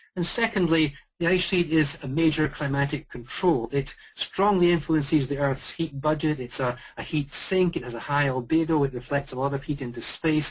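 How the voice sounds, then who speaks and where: Somewhat breathy, a man speaks with a Scottish accent and a fairly high pitch. His pace is moderate, with ordinary pitch variation. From Scotland. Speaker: volcanologist. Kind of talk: lecture. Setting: video call.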